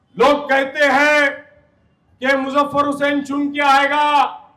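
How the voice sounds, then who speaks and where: This man has an extremely high pitch. His voice is raised and projected. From India, Mira-Bhayandar near Mumbai. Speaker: politician. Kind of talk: campaign speech.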